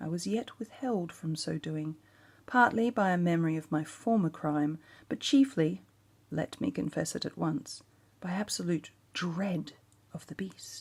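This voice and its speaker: On a very clean recording with a silent background, a woman with a fairly low, somewhat breathy voice speaks at a fairly slow pace with lively intonation. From Australia. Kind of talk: ASMR story reading.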